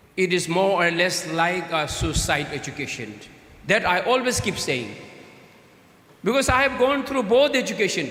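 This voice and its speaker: A man with a Tibetan accent and a high pitch speaks at a moderate pace, with very wide pitch swings and long, frequent pauses. Noticeable background noise and audible room echo fill the recording. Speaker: Tibetan political leader, guest speaker. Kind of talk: conference speech. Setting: stage with audience. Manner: halting.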